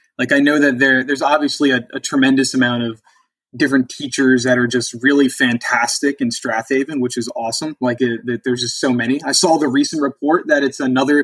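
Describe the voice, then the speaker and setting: This man has a plain, everyday voice and talks at a fairly quick pace. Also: dry, close sound with no echo. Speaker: podcast host. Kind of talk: casual interview.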